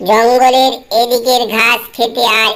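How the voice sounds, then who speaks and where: This voice sounds female. It is a cartoonish character voice. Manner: thinking aloud, sly.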